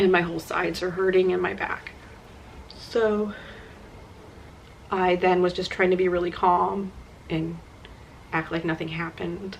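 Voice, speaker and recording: A woman talks at a moderate pace in a monotone, flat intonation against noticeable background noise. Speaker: vlogger. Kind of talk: personal testimony. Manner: casual, filler-heavy.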